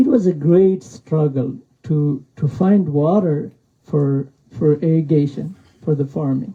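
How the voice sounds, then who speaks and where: The voice has a dark, mellow tone, is somewhat breathy, and moves at a fairly slow pace with ordinary pitch variation. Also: man, fairly high pitch for a man. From Pakistan, Afghan refugee camp. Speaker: author. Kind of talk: book talk with reading. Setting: bookstore event with audience. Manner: halting.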